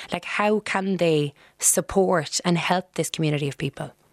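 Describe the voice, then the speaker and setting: In a Cork accent, a woman speaks at a moderate pace, the sound dry and close with no echo. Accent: Irish, Cork. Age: 30s. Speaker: radio host. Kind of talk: radio show hosting.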